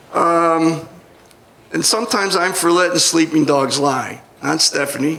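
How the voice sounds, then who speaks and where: Speaking with an American accent, a man has a high pitch, fairly even intonation and a fairly slow pace. Room echo is audible, and there is noticeable background noise. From US Northeast (Rochester, New York). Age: 60s. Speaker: comedian. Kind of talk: stand-up. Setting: stage with audience.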